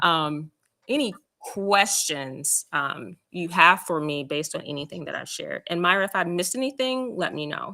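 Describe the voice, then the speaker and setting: A woman speaks at a moderate pace with lively intonation and a fairly low pitch. It is a normal speaking voice. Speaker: school district support staff explaining principal selection. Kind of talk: briefing at a school council meeting.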